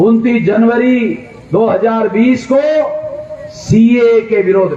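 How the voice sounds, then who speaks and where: The recording has audible room echo along with noticeable background noise. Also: man. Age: 60s. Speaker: political activist leader. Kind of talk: political rally speech. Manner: loud, emphatic oratory.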